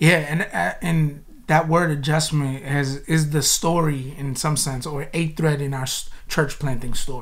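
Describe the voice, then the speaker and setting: Room echo is audible as a man speaks with a fairly high, somewhat breathy voice. His pace is fairly slow and his intonation fairly even. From US, South Florida (Boynton), Spanish-speaking home. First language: Spanish. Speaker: pastor, church planter. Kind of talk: casual interview.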